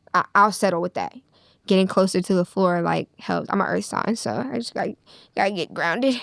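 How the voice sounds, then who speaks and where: A woman speaks at a fairly quick pace with a medium pitch, ordinary pitch variation and some vocal fry, in a dry, close recording with no echo that is very clean with a silent background. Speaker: rapper. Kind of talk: interview. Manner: halting.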